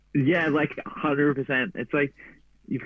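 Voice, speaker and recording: A man talks with an Australian accent. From Gold Coast, Australia. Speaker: endurance runner. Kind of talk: interview. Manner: casual, slangy.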